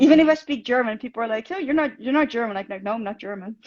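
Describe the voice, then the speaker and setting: Speaking with a Dutch accent, a woman with a high voice uses ordinary pitch variation, recorded dry and close with no echo. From Netherlands. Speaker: fan club host. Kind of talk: casual chat. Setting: Instagram live stream.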